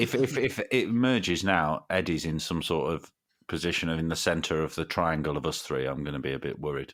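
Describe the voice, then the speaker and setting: Lively intonation and vocal fry from a man with a very deep, low pitch, at a fairly quick pace. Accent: East Midlands. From Derby, East Midlands, England. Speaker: podcast guest, fellow podcaster. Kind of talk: casual chat.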